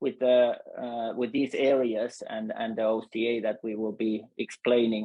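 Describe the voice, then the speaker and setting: Speaking with a Finnish accent, a man keeps a monotone, flat intonation at a moderate pace. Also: medium pitch for a man. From Finland. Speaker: UX designer, foundation member. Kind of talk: webinar panel discussion. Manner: halting, many fillers.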